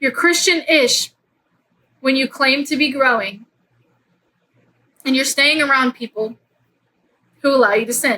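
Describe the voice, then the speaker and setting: With a raised, projected voice and a bright, sharp tone, a woman speaks at a high pitch and a fairly slow pace, using ordinary pitch variation and long, frequent pauses. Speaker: faith podcast host. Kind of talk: casual faith talk. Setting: at home in bed. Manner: animated; loud.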